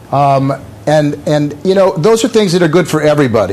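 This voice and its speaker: A man speaks with ordinary pitch variation. There is noticeable background noise. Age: 60s. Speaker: website founder and gadget reviewer. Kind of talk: TV news interview. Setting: remote TV interview from LA. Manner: halting, many fillers and repeats.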